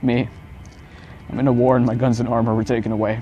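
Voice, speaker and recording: A man's intense, monotone, flat delivery at a medium pitch and fairly quick pace, with music in the background. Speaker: spoken word poet. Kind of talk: spoken word poetry performance. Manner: emotional, intense.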